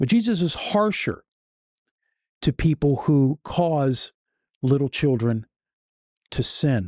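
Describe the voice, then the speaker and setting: In a quiet setting with dry sound and no echo, a man speaks at a fairly slow pace in a dark, mellow, serious tone, somewhat breathy, with very wide pitch swings. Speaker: YouTube host and critic of preachers. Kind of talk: commentary and critique narrating over sermon clips. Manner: earnest, serious, somewhat halting with fillers. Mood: critical, earnest. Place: home room. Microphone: studio mic.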